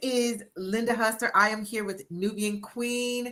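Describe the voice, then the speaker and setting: Talking at a very slow pace, a woman uses a fairly high pitch with ordinary pitch variation. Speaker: book coach and anthology organizer. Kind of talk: live interview. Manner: animated.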